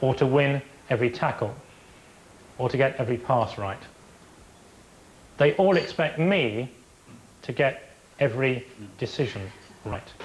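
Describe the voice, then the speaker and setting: With a London accent, the speaker sounds somewhat breathy and moves at a moderate pace with ordinary pitch variation. Long pauses come often. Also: man, medium pitch for a man. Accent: posh Harrow. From England. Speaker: football referee. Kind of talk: documentary interview.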